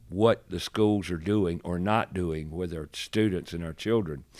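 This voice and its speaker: A man speaks at a fairly slow pace with ordinary pitch variation, on a very clean recording with a silent background. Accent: North Carolina. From US South. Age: 70s. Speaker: radio host and remodeler. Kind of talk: podcast interview.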